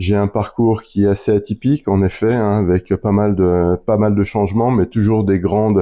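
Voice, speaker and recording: Speaking at a moderate pace with hardly any pauses, a man delivers flat, monotone lines in a dark, mellow, fairly low voice. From France (Lorraine). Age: 50s. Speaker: business development for a magazine publisher. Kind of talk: interview. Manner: hesitant, many fillers.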